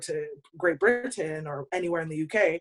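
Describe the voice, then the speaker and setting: At a moderate pace, a woman with a Canadian accent and a fairly low pitch speaks in an unremarkable speaking voice. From Canada. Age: 30s. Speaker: podcast co-host. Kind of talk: casual chat.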